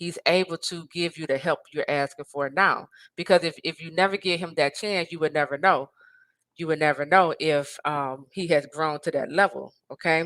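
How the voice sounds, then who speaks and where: In a very clean recording with a silent background and a dry, close sound with no echo, a woman talks at a moderate pace with a fairly low pitch and ordinary pitch variation. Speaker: life and marriage coach. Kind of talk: motivational talk to camera. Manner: loud; animated.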